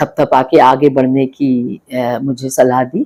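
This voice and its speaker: Dark, mellow tones from a woman, recorded dry and close without any echo. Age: 60s. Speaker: politician. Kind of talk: interview. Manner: hesitant, many fillers.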